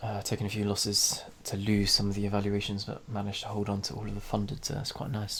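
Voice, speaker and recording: With a British accent, a man speaks at a fairly low pitch in a somewhat breathy voice. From UK. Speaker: trading vlogger. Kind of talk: casual screen-share vlog. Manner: hesitant, many fillers.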